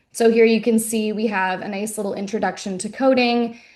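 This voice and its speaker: The woman's voice sits at a medium pitch. She speaks at a fairly quick pace over a quiet background. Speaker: curriculum specialist, former teacher. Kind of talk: webinar presentation. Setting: video call webinar. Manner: hesitant, many filler ums.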